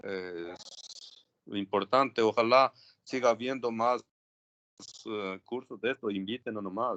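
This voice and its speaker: A man speaks at a fairly slow pace and medium pitch with fairly even intonation and long, frequent pauses. The sound is dry and close, with no echo. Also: big swings in loudness. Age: 60s. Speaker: geologist audience member. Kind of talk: audience question and comment. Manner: frequent tag ¿no?.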